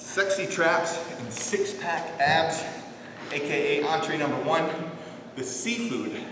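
A man's high-pitched voice with ordinary pitch variation at a very slow pace, with noticeable background noise and audible room echo. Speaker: fitness instructor. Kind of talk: tutorial. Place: gym. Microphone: camera far.

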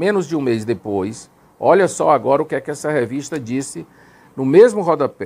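A man speaks with very wide pitch swings. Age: 50s. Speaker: former Jehovah's Witness elder; Witness. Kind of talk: testimony. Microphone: lapel.

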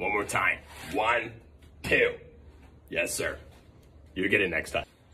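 A man's put-on character voice. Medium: role play. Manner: loud, exasperated.

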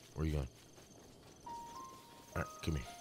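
A man is speaking. Music plays in the background. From Puerto Rico. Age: 20s. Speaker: gaming streamer. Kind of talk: casual live-stream gameplay commentary.

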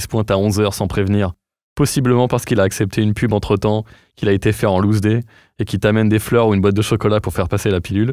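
Against a quiet background, a man with a dark, mellow tone speaks at a very fast pace, the sound dry with no echo. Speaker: podcast host. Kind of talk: casual interview chat. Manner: animated. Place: studio. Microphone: studio mic.

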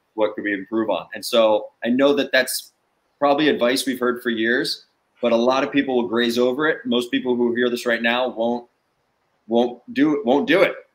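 With a New Jersey accent, a man talks at a moderate pace with fairly even intonation. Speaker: sales trainer and startup founder. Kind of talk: guest interview on a live webcast. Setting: video call. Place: home room.

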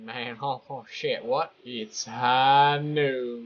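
A man puts on a character voice in a Texas accent, his medium pitch held in monotone, flat intonation.

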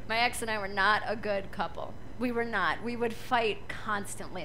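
Bright and sharp in tone, a woman's high voice comes through over light background noise. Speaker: stand-up comedian. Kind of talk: stand-up comedy routine. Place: stage. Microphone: handheld.

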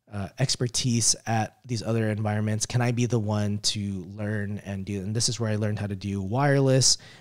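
A man's ordinary speaking voice, fairly low in pitch, at a moderate pace with fairly even intonation and hardly any pauses. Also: quiet background. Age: 30s. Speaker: network engineer and tech video host; tech video host. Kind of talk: live stream talk. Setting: live stream. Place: home room. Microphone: studio mic.

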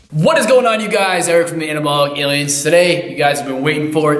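A man talks at a very fast pace with ordinary pitch variation, and room echo can be heard. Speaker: fitness coach. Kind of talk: workout intro and tutorial. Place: gym.

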